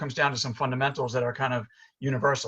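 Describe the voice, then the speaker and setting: A man with a New York accent speaks at a medium pitch, his tone bright and sharp. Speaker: chiropractor and functional medicine doctor. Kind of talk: presentation. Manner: fast; animated.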